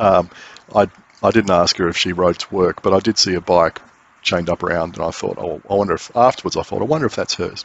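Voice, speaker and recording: This man talks at a fairly quick pace with ordinary pitch variation. The sound is dry, with no echo. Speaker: cycling vlogger. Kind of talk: casual vlog chat. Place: bicycle. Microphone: phone near.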